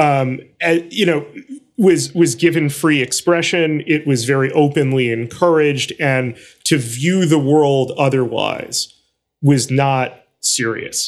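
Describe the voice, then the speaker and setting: With an American accent, a man speaks very slowly in a fairly high pitch, using ordinary pitch variation. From New York City (Brooklyn). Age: 40s. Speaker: journalist. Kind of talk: interview.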